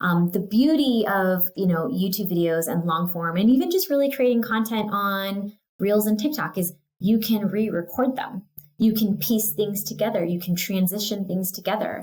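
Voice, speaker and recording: A woman with an American accent speaks at medium pitch and a moderate pace. Her voice is somewhat breathy, with ordinary pitch variation. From California. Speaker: real estate agent. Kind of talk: casual interview. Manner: casual, filler words (um, like).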